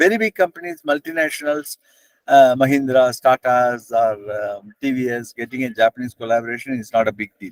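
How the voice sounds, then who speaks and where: A man talks at a fairly quick pace with ordinary pitch variation. The sound is dry and close, with no echo. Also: medium pitch for a man, big swings in loudness. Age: 60s. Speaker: business owner. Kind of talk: panel presentation. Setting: video call. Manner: fast.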